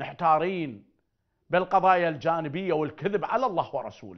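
A man with an Iraqi accent speaks at a fairly slow pace in an animated tone. The background is quiet. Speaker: spiritual healer; TV presenter. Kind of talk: religious talk. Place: studio. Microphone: lapel.

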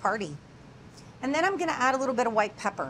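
A woman speaks at a high pitch against light background noise. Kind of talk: cooking demonstration explanation. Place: kitchen. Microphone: lapel.

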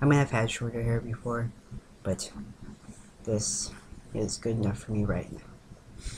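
A man speaks at a fairly slow pace with long, frequent pauses over noticeable background noise. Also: fairly even intonation. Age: 20s. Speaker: vlogger documenting gender transition. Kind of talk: casual video diary. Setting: indoors on webcam in girlfriend's room. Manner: giggly, rambling. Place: home room. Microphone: webcam.

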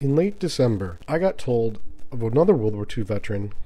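A man talks at a fairly quick pace. His tone is dark and mellow, and somewhat breathy. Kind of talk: documentary narration.

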